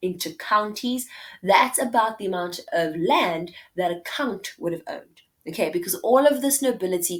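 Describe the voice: It is plain reading aloud, with lively intonation.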